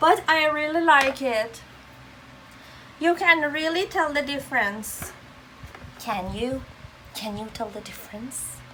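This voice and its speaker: Raising and projecting her high-pitched voice, a woman speaks fairly slowly with lively intonation, big swings in loudness and long, frequent pauses amid noticeable background noise. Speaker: beauty vlogger. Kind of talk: tutorial.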